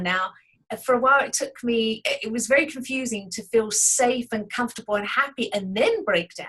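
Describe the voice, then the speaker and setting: Speaking with an English accent, a woman has a fairly high pitch. She keeps a moderate pace and ordinary pitch variation. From England. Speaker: artist. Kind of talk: interview.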